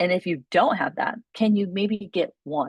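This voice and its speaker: The recording of this woman has a dry, close sound with no echo. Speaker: dietitian and nutrition coach. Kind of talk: recorded coaching session. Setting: solo recording of a group call. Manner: fast; casual, many fillers and restarts.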